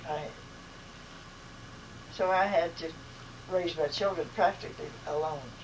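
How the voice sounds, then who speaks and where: Her voice is fairly low for a woman, with fairly even intonation. Noticeable background noise runs underneath. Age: 80s+. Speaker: grandmother. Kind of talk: interview answer.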